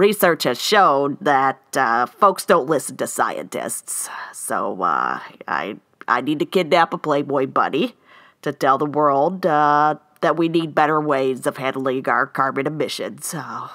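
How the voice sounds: A woman's cartoonish character voice, extremely low in pitch, with lively intonation, a fairly bright tone, a fairly slow pace and few pauses.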